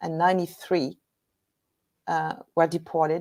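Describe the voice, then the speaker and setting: A woman is speaking. She has a French accent. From Normandy, France. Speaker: battlefield guide and historian. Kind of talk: guest presentation. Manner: halting.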